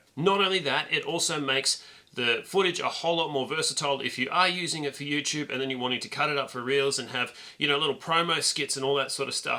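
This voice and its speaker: A man talks very fast with noticeable noise in the background. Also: ordinary pitch variation. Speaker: YouTube content creator. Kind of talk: tutorial. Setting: indoors filming to camera, low light.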